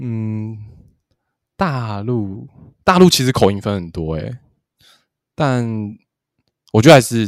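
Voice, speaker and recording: A man speaks at a very slow pace with long, frequent pauses, big swings in loudness and lively intonation. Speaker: podcast co-host. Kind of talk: casual chat. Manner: soft-spoken, quiet.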